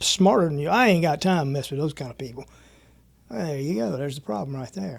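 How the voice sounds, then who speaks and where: In an unremarkable speaking voice, a man talks at a fairly quick pace with lively intonation. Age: 60s. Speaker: martial arts school owner. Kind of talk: casual chat.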